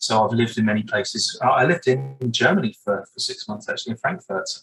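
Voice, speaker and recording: A man with a southern English accent speaks at a medium pitch. Music plays in the background. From southern England, Brighton. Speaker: breathwork coach. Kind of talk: interview.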